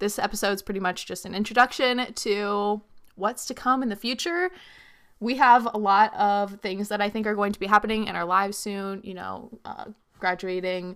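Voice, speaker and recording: In a very clean recording with a silent background, a woman with a normal speaking voice and medium pitch talks at a moderate pace, her intonation fairly even and her loudness swinging widely. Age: 20s. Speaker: YouTuber and podcast co-host. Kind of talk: casual chat.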